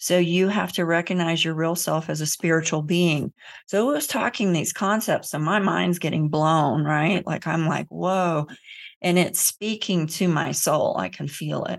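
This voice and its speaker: A woman's fairly low-pitched voice, an ordinary speaking voice, at a fairly slow pace with fairly even intonation over a quiet background. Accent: American. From US South, Central Florida. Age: 50s. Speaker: emotional healing educator and author. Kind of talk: podcast interview.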